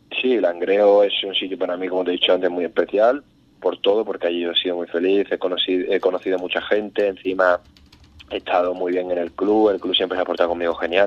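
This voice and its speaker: Speaking at a very fast pace, a man holds a monotone, flat intonation in a very deep, low pitch. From Ubrique, Andalusia. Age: 20s. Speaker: professional footballer. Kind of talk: phone interview.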